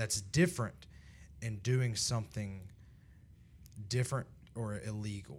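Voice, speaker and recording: A man speaks at a moderate pace and fairly low pitch, with ordinary pitch variation. His voice is somewhat breathy, and the recording is very clean with a silent background. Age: 30s. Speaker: young adult ministry podcast host. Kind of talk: casual chat. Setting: studio.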